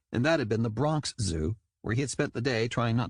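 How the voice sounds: A natural reading voice moves through ordinary pitch variation, and the background stays quiet.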